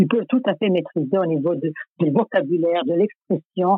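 A woman at a medium pitch talks at a fairly slow pace with lively intonation. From former Yugoslavia. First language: Serbo-Croatian (speaking French). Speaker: psycholinguist. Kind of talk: interview.

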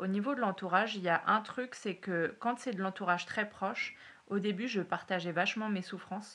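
The tone is bright and sharp, and the intonation fairly even. The pace is moderate. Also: woman, medium pitch for a woman. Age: 30s. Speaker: university lecturer and PhD student. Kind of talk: testimony. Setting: at the host's home. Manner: hesitant, many fillers.

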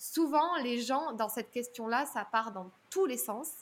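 A woman's high-pitched voice carries lively intonation at a moderate pace. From southern France. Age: 30s. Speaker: public speaking coach. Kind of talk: podcast interview.

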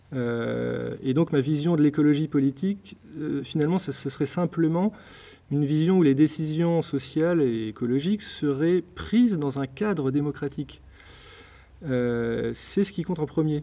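The man has a dark, mellow tone and a fairly high pitch. He talks fairly slowly, with ordinary pitch variation. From France, Blois (Loir-et-Cher). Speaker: author of a political essay. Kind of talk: interview. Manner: halting, many repetitions.

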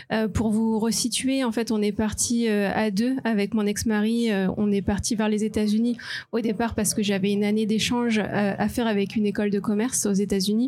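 A woman with a fairly high pitch and a dark, mellow tone speaks at a moderate pace in a monotone, flat intonation. Her loudness stays very even, on a very clean recording with a silent background. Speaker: marketing professional, mother. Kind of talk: live podcast panel testimony. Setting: live recording before an audience.

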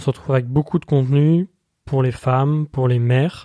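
The man's voice sits at medium pitch with a dark, mellow tone and fairly even intonation. The sound is dry and close, with no echo. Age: 20s. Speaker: podcast host. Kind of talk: solo podcast monologue.

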